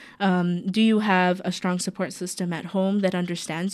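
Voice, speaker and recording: The recording is very clean, with a silent background. A woman speaks in a plain, everyday voice at medium pitch and a moderate pace. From US South, North Carolina. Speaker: PhD student and mosque youth volunteer. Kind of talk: radio interview.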